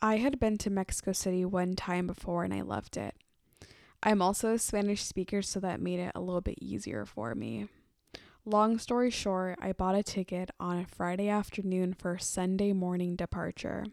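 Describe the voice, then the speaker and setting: With an American accent, the speaker talks at a moderate pace with ordinary pitch variation, in a very clean recording over a silent background. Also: woman, medium pitch for a woman. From US West Coast, Oakland, California. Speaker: podcast host. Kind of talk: scripted monologue. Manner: enthusiastic.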